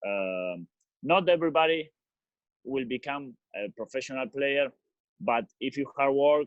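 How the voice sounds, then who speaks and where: A man with an Argentine accent uses lively intonation at a fairly high pitch. He leaves long, frequent pauses. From Argentina, Rosario. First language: Spanish. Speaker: professional footballer. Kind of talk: casual talk to kids. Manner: halting.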